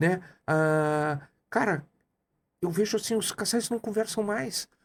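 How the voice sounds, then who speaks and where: The man's voice is high-pitched, with ordinary pitch variation. He speaks very slowly at very even loudness. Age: 60s. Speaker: coach and entrepreneur. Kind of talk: podcast interview.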